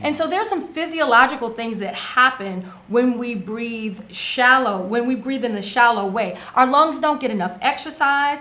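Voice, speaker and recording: With lively intonation and hardly any pauses, a high-pitched woman speaks at a moderate pace amid audible room echo. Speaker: wellness show co-host. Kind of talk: casual talk show explanation; guided meditation.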